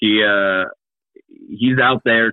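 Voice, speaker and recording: In an American accent, a man talks at a fairly slow pace. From Kansas City, Missouri. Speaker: improv comedian and teacher. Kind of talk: casual chat.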